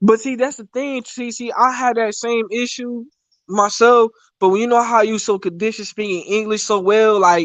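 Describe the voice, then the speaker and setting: A man talks with a slight West Indian accent at a high pitch, his intonation fairly even. His loudness swings widely. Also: moderate pace. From West Indies. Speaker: live stream participant. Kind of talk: casual chat.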